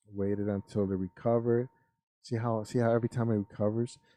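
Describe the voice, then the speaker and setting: The voice has a dark, mellow tone and a monotone, flat intonation at a fairly quick pace. The sound is dry and close, with no echo. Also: man. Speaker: finance youtuber. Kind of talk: live stream talk.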